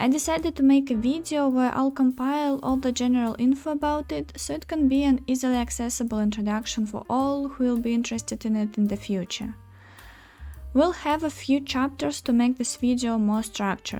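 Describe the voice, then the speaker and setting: With a Russian accent, a woman with a high pitch speaks at a moderate pace and ordinary pitch variation. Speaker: writer and artist. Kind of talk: scripted video introduction.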